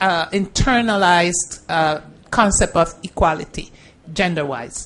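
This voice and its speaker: A woman with a Caribbean accent speaks at a fairly slow pace. Her medium pitch shows ordinary variation. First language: Spanish. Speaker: judge. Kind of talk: panel Q&A with students.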